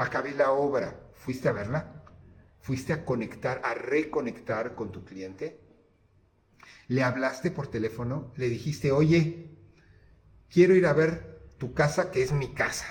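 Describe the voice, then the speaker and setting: A fairly high-pitched man talks at a fairly slow pace with ordinary pitch variation. His voice is somewhat breathy. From Mexico. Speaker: architect, podcast host. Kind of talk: casual monologue with anecdotes. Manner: halting, with many repetitions.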